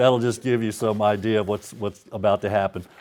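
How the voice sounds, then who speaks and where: A man with a Louisiana accent, medium pitch and fairly even intonation, over noticeable background noise. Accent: Southern US (Louisiana). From US South, Baton Rouge, Louisiana. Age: 50s. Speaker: author. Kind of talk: author talk before a reading. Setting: stage with audience. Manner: casual, hesitant with many fillers.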